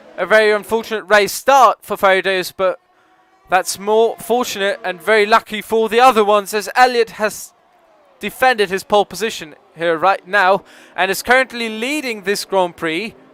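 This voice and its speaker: Music plays behind a man speaking at a high pitch and moderate pace. His intonation is fairly even, and the sound is dry and close with no echo. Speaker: esports race commentator. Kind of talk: live commentary. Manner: quiet.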